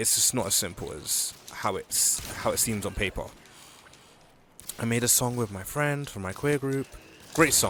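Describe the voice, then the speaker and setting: A quiet man with a relaxed tone speaks at a moderate pace and medium pitch, with ordinary pitch variation. Long, frequent pauses break his speech over noticeable background noise. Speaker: gaming video diarist. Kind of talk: casual vlog chat while gaming. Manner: quiet, relaxed; halting with restarts.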